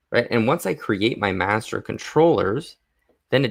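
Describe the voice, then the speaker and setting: On a very clean recording with a silent background, a plain, everyday voice moves at a moderate pace with lively intonation. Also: man. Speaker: animation rigging streamer. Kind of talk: live stream tutorial. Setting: live stream with camera. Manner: casual, thinking aloud.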